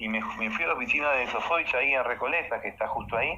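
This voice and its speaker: A man speaks with a fairly high pitch for a man. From Uruguay, Montevideo. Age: 50s. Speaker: dancer and choreographer. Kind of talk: casual interview chat. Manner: animated.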